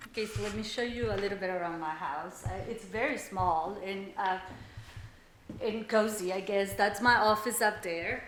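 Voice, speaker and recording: Spoken in a Salvadoran accent at a moderate pace, with ordinary pitch variation. Noticeable background noise and audible room echo surround the voice. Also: woman, medium pitch for a woman. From El Salvador. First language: Spanish. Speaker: mortgage operations worker. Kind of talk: documentary interview, casual storytelling. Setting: at home, house tour. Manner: hesitant, many fillers.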